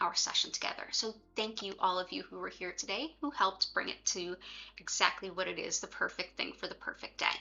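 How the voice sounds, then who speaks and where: With an American accent, a woman speaks at a fairly quick pace and with fairly even intonation. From US, Philadelphia. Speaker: Reiki teacher. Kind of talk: livestream explanation. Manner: casual, relaxed.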